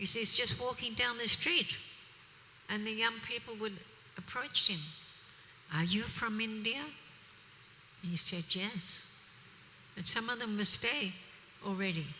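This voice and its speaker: A woman with an Australian accent and a fairly high voice speaks fairly slowly, with ordinary pitch variation and long, frequent pauses, over noticeable background noise. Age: 70s. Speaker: preacher. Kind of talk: religious discourse. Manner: animated.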